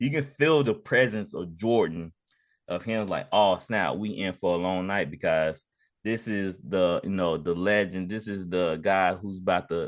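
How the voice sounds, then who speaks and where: In a quiet background, a man speaks in a normal speaking voice at a moderate pace, fairly low in pitch, with ordinary pitch variation. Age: 30s. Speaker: sports podcast host. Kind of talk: casual chat.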